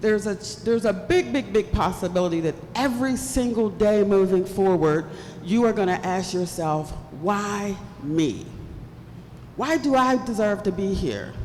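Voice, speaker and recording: With an American accent, a woman speaks at a moderate pace and medium pitch, using lively intonation and long, frequent pauses, while noticeable background noise and audible room echo fill the recording. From West Virginia (Bluefield), US Appalachia. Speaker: keynote speaker. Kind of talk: keynote speech. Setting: stage with audience. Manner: animated.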